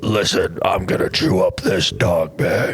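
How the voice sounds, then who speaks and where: A man puts on a character voice. Background noise is clearly audible behind him. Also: fairly slow pace. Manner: menacing, growly.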